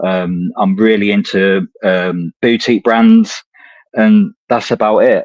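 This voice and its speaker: In a dry, close sound with no echo, a man with an English accent speaks at a very slow pace. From England, Coventry (Midlands). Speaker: cigar enthusiast. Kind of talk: casual chat.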